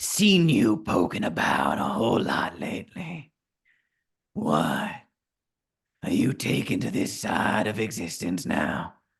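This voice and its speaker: A raspy put-on character voice from a man at a medium pitch, fairly slow, with long, frequent pauses. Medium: actual play. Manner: cold, mocking, taunting.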